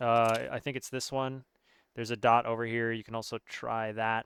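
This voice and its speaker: A man at a medium pitch and moderate pace, a plain, everyday voice, with a dry, close sound and no echo. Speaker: gaming coach. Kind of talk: tutorial. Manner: casual with many fillers.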